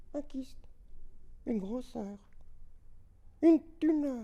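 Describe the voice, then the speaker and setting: An extremely high-pitched put-on character voice from a man, fairly slow in pace. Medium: stage.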